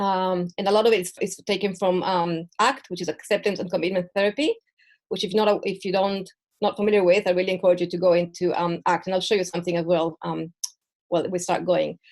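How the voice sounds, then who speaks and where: Talking at a very fast pace, a woman keeps her medium pitch fairly even. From Mexico and Israel. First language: Spanish and Hebrew. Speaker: perinatal mental health educator. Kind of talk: online presentation. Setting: video call from home. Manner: halting.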